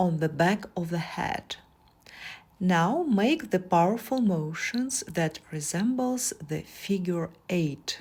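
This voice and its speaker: A woman with a non-native accent speaks at a very slow pace, somewhat breathy. Her pitch swings very widely. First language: not English. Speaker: massage therapist. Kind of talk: tutorial.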